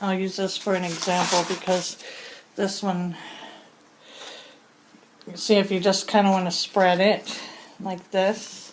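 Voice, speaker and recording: Against noticeable background noise, a woman of medium pitch speaks fairly slowly in a monotone, flat intonation, with long, frequent pauses. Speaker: plasticine artist. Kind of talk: casual craft demonstration to camera. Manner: hesitant, many fillers.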